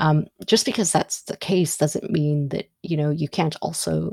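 This woman's voice is very deep and low, with a dark, mellow tone. She speaks with an Ethiopian accent. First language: Amharic. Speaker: podcast host. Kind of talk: solo monologue. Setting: studio microphone, audio only. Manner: halting with many fillers.

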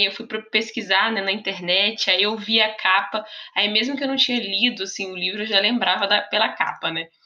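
A woman's bright, sharp tone at a moderate pace, with fairly even intonation. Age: 20s. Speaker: teacher and book podcaster. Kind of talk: casual solo podcast monologue.

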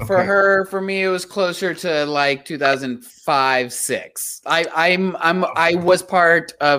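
On a very clean recording with a silent background, a man with an American accent speaks very slowly with hardly any pauses, at a fairly high pitch, with lively intonation and a bright, sharp tone. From South Texas. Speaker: podcast co-host. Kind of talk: casual interview.

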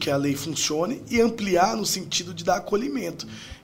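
A man's high voice with lively intonation at a fairly quick pace, with audible room echo and noticeable background noise. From Brazil, Sorocaba (São Paulo state). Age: 30s. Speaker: mayoral candidate and university lecturer. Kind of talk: political interview.

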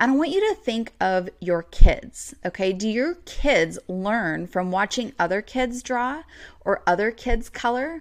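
A woman's fairly high, lively-intoned voice, a normal speaking voice at a fairly slow pace, on a very clean recording with a silent background. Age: 30s. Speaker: podcast host and business coach. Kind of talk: solo podcast tutorial.

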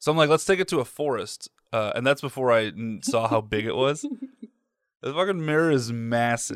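This man has a normal speaking voice and an American accent, medium in pitch with ordinary pitch variation. He talks at a fairly quick pace on a very clean recording with a silent background. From mid-Michigan, US. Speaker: podcast co-host. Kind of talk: casual chat.

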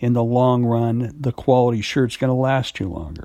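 Dark, mellow male voice at medium pitch and moderate pace on a very clean recording with a silent background. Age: 60s. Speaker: actor and acting podcast host. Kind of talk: solo monologue podcast. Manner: halting, many fillers.

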